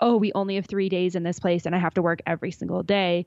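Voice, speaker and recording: Speaking in a Canadian accent at a fairly quick pace, a woman with an ordinary speaking voice has a fairly low pitch and fairly even intonation. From Alberta, Canada. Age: 20s. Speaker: travel podcaster. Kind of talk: interview.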